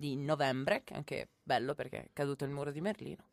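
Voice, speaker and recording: The woman's voice comes through dry and close, with no echo. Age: 20s. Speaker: student radio host. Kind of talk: casual radio chat. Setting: radio studio. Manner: animated.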